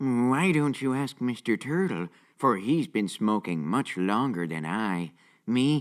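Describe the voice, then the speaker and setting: Using a put-on character voice at a medium pitch, a man speaks at a fairly slow pace on a very clean recording with a silent background. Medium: comedy sketch. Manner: casual, wry.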